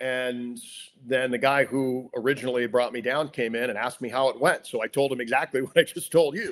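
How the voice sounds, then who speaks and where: Recorded very cleanly against a silent background, a man with a normal speaking voice talks at a fairly quick pace, medium pitch and ordinary pitch variation. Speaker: radio play-by-play announcer (sports broadcaster). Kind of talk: interview answer, telling career anecdotes. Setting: podcast interview.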